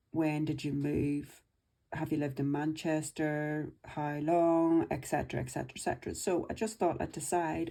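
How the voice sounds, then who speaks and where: A woman with a Northern Irish accent speaks at a moderate pace with fairly even intonation, her very deep, low voice dark and mellow, in a very clean recording with a silent background. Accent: Northern Irish (Belfast). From Northern Ireland, Belfast. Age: 50s. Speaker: budgeting vlogger. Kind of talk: personal life story monologue. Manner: casual, chatty.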